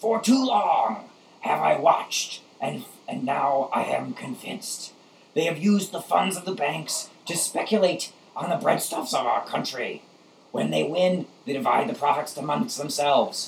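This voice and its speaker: Using a put-on character voice pitched high, a man speaks at a moderate pace. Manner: agitated, oratorical.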